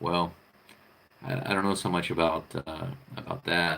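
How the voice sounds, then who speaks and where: A man with an American accent talks at a fairly quick pace in a very deep, low pitch. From United States. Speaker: vlogger. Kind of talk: casual live-stream monologue. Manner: halting, many fillers and repetitions.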